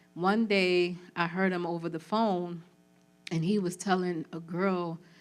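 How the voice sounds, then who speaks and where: A woman speaks in a fairly low pitch while music plays in the background. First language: Spanish. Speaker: trafficking survivor and community organizer. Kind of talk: testimony. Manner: casual, conversational with fillers.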